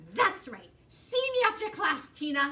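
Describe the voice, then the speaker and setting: A woman puts on a character voice at an extremely high pitch, with very wide pitch swings. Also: fairly slow pace. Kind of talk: villain in children's story reading. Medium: read story. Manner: preachy, self-satisfied.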